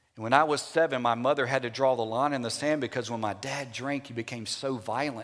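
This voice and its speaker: A man talks in a Louisiana accent. His intonation stays fairly even. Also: hardly any pauses. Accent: US Southern (Louisiana). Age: 50s. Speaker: Baptist pastor. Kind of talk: sermon.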